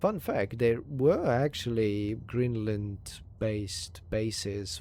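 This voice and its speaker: At a very slow pace, a man speaks in a fairly low pitch with a dark, mellow tone. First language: Hungarian. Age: 30s. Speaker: video game streamer. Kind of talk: live gameplay commentary with reading aloud. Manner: halting, stumbles over words.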